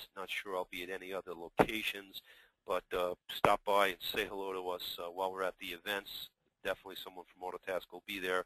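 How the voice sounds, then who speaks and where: A very deep, low-pitched man's voice in a New York accent, flat and monotone at a very fast pace. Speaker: software company executive, former IT service provider. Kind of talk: webinar presentation. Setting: webinar.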